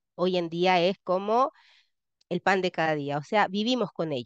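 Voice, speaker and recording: Recorded dry and close with no echo over a quiet background, a woman with a Chilean accent speaks at a moderate pace. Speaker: education lecturer. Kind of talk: lecture.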